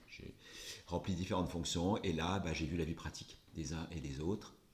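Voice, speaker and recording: Vocal fry runs through a man's very deep, low voice as he speaks at a fairly quick pace. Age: 60s. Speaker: politician. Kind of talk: interview. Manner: hesitant, many fillers.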